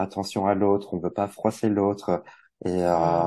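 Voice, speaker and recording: In a quiet background, a man with a dark, mellow tone and fairly low pitch speaks at a fairly slow pace in a monotone, flat intonation. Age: 40s. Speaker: tarot reader and wellbeing coach. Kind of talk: casual interview. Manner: hesitant, many fillers.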